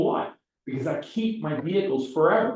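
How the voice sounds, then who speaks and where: A man's voice with lively intonation. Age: 60s. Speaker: CPA and real estate class instructor. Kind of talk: lecture. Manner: casual, conversational.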